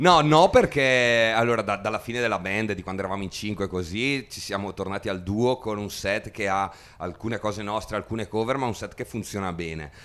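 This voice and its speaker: A man speaks at a fairly quick pace. His pitch is fairly low, with ordinary variation. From Italy. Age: 30s. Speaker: musician; interviewee. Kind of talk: interview. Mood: relaxed, friendly, enthusiastic. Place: empty room. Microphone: handheld.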